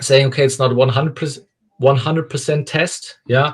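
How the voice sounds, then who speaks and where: Somewhat breathy, a man with a German accent speaks with fairly even intonation. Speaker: company founder and CEO. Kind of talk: interview. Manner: halting.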